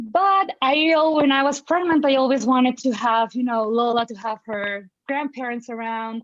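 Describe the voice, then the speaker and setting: A woman with a Mexican accent, high-pitched, at a moderate pace with ordinary pitch variation. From Mexico. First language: Spanish. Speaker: parent of a child in early intervention. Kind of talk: panel conversation.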